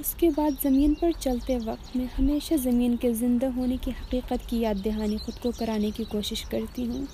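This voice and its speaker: Noticeable background noise sits behind a voice with fairly even intonation. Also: woman, high pitch for a woman. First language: Burushaski and Khowar (speaking Urdu). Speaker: student. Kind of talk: scripted narration. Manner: formal.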